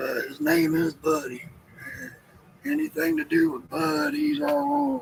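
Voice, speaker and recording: With a Southern US accent and a relaxed tone, a man speaks at a fairly slow pace with long, frequent pauses and big swings in loudness over noticeable background noise. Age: 50s. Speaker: homestead livestreamer. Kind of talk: casual chat. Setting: live stream.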